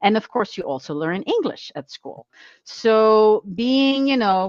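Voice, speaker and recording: Fairly slow and fairly high-pitched, a woman with a Flemish accent swings very widely in pitch and sharply in loudness, the sound dry and close with no echo. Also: quiet background. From Belgium, Flanders. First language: Flemish Dutch. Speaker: business consultant. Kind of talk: podcast interview.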